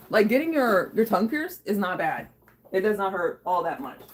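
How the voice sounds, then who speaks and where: A woman at a fairly quick pace, with very wide pitch swings, over noticeable background noise. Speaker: live streamer. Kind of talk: casual live stream chat. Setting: live stream. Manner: casual, rambling with fillers.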